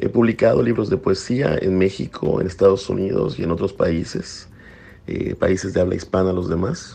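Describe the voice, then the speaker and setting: A man speaks at a moderate pace in a very deep, low voice with a dark, mellow tone and ordinary pitch variation. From Mexico, Yucatán. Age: 30s. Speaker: poet. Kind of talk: interview.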